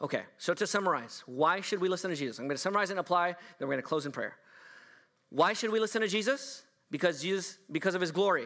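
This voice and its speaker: A man with a high pitch and a bright, sharp tone talks very fast with lively intonation. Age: 40s. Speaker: pastor. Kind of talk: sermon.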